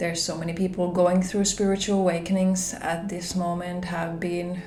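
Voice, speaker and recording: A woman's fairly low, monotone, flat voice in a Finnish accent, with audible room echo and music in the background. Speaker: spiritual vlogger. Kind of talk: personal vlog talk. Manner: hesitant, conversational.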